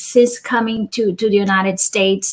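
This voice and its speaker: With a Brazilian accent, a woman speaks at a moderate pace. Her voice is fairly high and somewhat breathy. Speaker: cultural diversity facilitator and author. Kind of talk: interview.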